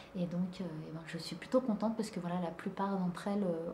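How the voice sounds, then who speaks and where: Over noticeable background noise and audible room echo, a soft-spoken woman talks at a moderate pace and a medium pitch. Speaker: plant vlogger. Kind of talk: casual vlog. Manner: hesitant, many fillers.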